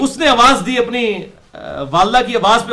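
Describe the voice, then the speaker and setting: A man's raised, projected voice carries a bright, sharp tone with ordinary pitch variation. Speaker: Islamic preacher giving a lecture. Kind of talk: Islamic sermon / religious lecture in Urdu-Punjabi mix. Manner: lecturing, conversational, storytelling with asides.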